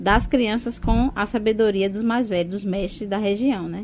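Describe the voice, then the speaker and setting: The woman has an ordinary speaking voice at medium pitch. She talks at a fairly quick pace with ordinary pitch variation. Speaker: educator. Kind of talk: radio interview.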